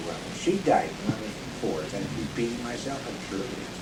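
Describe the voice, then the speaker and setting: Amid audible room echo and noticeable background noise, a man talks at a moderate pace with very wide pitch swings. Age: 60s. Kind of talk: casual chat. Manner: halting.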